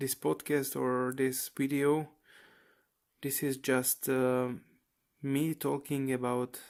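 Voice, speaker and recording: With a non-native accent, a man speaks at a very slow pace in a medium pitch, his intonation monotone and flat, with long, frequent pauses on a very clean recording with a silent background. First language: not English. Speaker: aspiring graphic novel creator. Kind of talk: personal vlog monologue. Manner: relaxed, casual; halting, many fillers.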